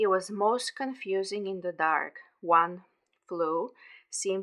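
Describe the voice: Plain reading aloud with ordinary pitch variation and a quiet background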